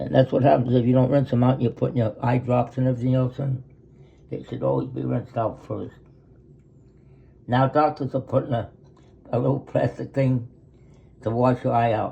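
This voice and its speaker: A somewhat breathy man at a medium pitch talks at a fairly quick pace in a monotone, flat intonation, with long, frequent pauses. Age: 80s+. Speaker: retired grandfather. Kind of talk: casual talk, explaining his routine.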